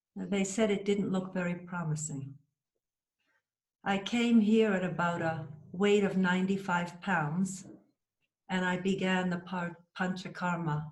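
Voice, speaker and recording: A somewhat breathy woman with an American accent, fairly even intonation, and long, frequent pauses, in a room with audible echo. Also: medium pitch for a woman, fairly slow pace. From USA. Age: 60s. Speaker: cancer survivor, patient. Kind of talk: interview testimony.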